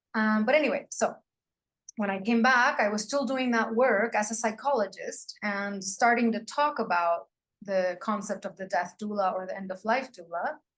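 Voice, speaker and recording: With a non-native accent, a woman talks in a fairly high pitch with ordinary pitch variation. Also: moderate pace. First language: not English. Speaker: psychologist and death doula. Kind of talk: interview conversation. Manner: halting, with fillers.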